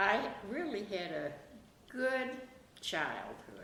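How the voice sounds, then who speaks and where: A very slow-speaking woman is heard amid audible room echo and noticeable background noise. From Germany (Bavaria). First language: German. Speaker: interviewee recalling her life. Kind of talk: oral history interview.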